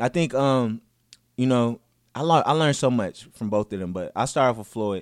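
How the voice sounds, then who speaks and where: A man with an American accent and an unremarkable speaking voice talks at medium pitch and a fairly quick pace, with ordinary pitch variation. The recording is very clean, with a silent background. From US Midwest, north side of Minneapolis. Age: young. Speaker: tech company CEO and event promoter. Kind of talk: casual interview.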